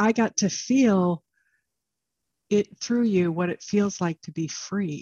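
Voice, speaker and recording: Somewhat breathy and at a medium pitch, a woman speaks at a very slow pace with ordinary pitch variation and long, frequent pauses. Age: old. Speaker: podcast host and coach. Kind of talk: casual interview chat.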